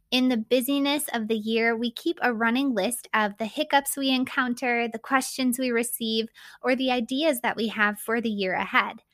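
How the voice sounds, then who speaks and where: In a very clean recording with a silent background, a woman with a high pitch speaks at a moderate pace with hardly any pauses and fairly even intonation, the sound dry and close with no echo. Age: 30s. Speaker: podcast host and business owner. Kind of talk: scripted narration.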